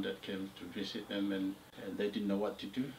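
Over light background noise, a man with a fairly low voice talks at a fairly quick pace. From Papua New Guinea, Morobe Province. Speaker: oral history narrator. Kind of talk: interview answer, oral history. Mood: calm reflective recounting. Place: home room.

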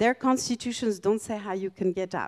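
A woman with a dark, mellow tone talks at a fairly quick pace against a quiet background. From France and Greece. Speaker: professor of international relations. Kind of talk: lecture. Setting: stage with audience. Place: hall. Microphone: handheld.

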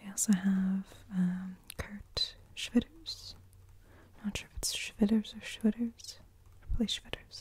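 The delivery comes at a fairly slow pace. The speaker is soft-spoken. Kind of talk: casual soft-spoken chat. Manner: soft-spoken, hushed ASMR reading voice. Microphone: phone near.

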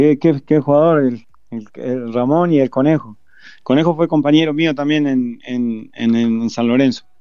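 At a fairly slow pace, a man speaks with fairly high pitch. His intonation stays fairly even. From Uruguay, Florida. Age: 50s. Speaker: football coach. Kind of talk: interview. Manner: halting.

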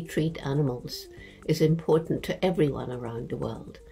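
With music in the background, a woman talks at a moderate pace in a very deep, low pitch with fairly even intonation. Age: 80s+. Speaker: anthropologist. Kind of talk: interview answer. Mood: calm, earnest. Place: home room. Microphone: webcam.

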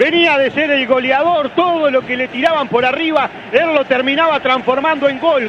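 Noticeable background noise sits behind a man speaking at a fairly slow pace. His pitch is extremely high. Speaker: sports commentator. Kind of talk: sports analysis commentary. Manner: animated, opinionated analyst.

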